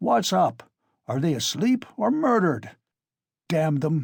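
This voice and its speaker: A man shouts in a raspy, fairly high voice at a fairly slow pace, his pitch swinging very widely. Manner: bawling, shouting.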